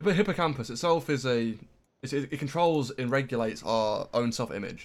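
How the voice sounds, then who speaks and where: A man talks with ordinary pitch variation. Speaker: gaming streamer. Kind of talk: casual chat while gaming.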